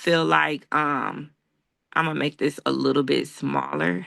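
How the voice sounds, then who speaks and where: Against a quiet background, a woman talks at a fairly slow pace with a bright, sharp tone. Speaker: YouTuber teaching content creation. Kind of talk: tutorial.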